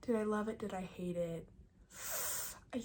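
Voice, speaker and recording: A whispering voice keeps a moderate pace while noticeable background noise plays behind it. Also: woman. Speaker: book vlogger. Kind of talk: casual vlog review. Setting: cabin in the mountains.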